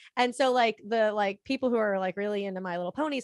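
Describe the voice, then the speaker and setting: Speaking with an American accent, a woman has an ordinary speaking voice at a medium pitch with ordinary pitch variation, in a dry, close sound with no echo and a quiet background. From Florida. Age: 30s. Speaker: collector. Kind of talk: casual chat.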